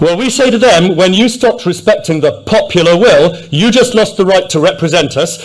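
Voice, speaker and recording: A man's high voice in a Yorkshire accent, fairly quick with hardly any pauses, very even loudness and ordinary pitch variation. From Yorkshire, England. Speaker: businessman and candidate. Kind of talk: political rally speech. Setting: stage with audience. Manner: slightly halting, repeats words. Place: hall. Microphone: podium.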